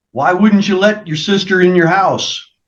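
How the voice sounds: A man talks at a moderate pace, his pitch high for a man with ordinary variation. Audible room echo surrounds his voice.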